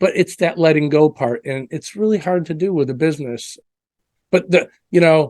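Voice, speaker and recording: At a moderate pace, a man talks in a fairly high pitch with ordinary pitch variation. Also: dry, close sound with no echo. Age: 60s. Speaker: business coach and entrepreneur. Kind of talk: interview. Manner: halting, repeats words.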